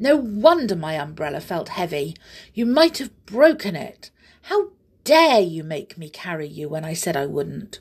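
A woman's put-on character voice, fairly low-pitched and slightly mellow with a slightly husky edge, big pitch swings and a fairly slow pace

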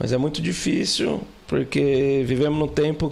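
Over noticeable background noise, a man speaks very slowly at a medium pitch. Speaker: podcast guest, student and customer service professional. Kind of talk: casual chat.

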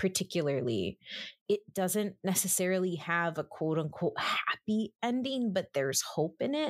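With an American accent, a woman speaks at a fairly slow pace and medium pitch with lively intonation. The recording is very clean with a silent background and a dry, close sound with no echo. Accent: Texan Mexican American English. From San Antonio, Texas. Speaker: film critic. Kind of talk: casual chat.

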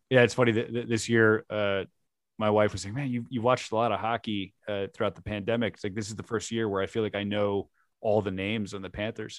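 Very fast and monotone, a man with an American accent talks in a fairly low voice with flat intonation. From South Florida. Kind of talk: casual chat. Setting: video call.

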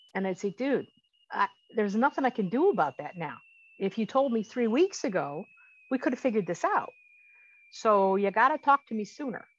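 With a dry, close sound and no echo, a woman speaks at a fairly quick pace and a fairly high pitch, her voice swinging very widely, broken by long, frequent pauses. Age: 60s. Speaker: coaching client, widow. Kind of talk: interview. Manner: animated.

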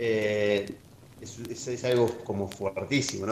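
A man speaks with an Argentine accent. His intonation is fairly even. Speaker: podcast host. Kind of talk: casual chat.

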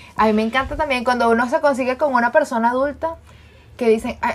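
A woman races through her words at a very fast pace. Her pitch varies in an ordinary way. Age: 20s. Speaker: podcast co-host. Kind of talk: casual chat. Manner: animated.

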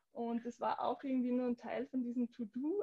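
A woman speaks at a high pitch with a dark, mellow tone. Her pace is moderate. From Austria, southern Upper Austria. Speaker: yoga teacher. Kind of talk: interview.

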